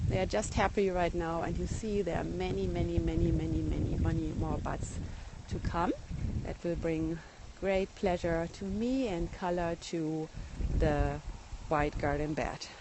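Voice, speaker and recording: The speaker is a woman with a German accent. She talks fairly slowly. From Germany. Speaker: garden blogger. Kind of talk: live garden tour broadcast. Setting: outdoors in garden, phone livestream. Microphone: iPhone 6 recording.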